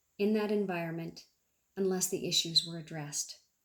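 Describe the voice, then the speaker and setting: Speaking at a moderate pace, a woman has an unremarkable speaking voice. Her pitch is fairly low and her intonation fairly even. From Canada. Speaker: amateur public speaker. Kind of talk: public speech to a club audience.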